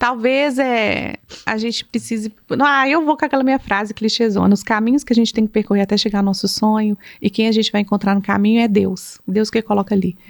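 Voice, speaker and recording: A woman speaks in a plain, everyday voice at a fairly high pitch and a fairly quick pace, with ordinary pitch variation. Her loudness stays very even, and the sound is dry and close with no echo. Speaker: psychologist. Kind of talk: casual podcast conversation.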